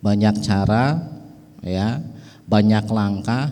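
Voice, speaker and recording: A man talks at a very slow pace. His voice is medium in pitch with a dark, mellow tone. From West Java, Betawi parents. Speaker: religious speaker representing a pesantren family. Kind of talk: religious speech at an organisation inauguration.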